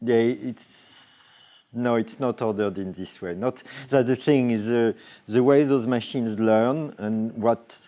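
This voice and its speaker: With a slight French accent, a man speaks at a very slow pace and medium pitch. His dark, mellow tone keeps a fairly even intonation. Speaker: robotic artist. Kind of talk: Q&A at symposium. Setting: symposium talk with audience. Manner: halting, many fillers and restarts.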